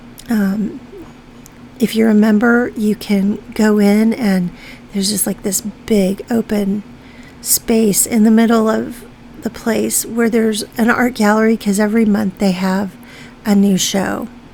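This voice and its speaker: Noticeable background noise behind a woman's fairly high, monotone voice with flat intonation, at a fairly slow pace. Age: 60s. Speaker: art YouTuber. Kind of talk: casual chat while painting. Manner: hesitant, many fillers.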